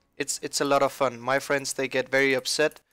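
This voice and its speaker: At a moderate pace, a man talks in a medium pitch with a bright, sharp tone, the sound dry and close with no echo on a very clean recording with a silent background. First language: not English. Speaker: gaming youtuber. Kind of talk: game tutorial.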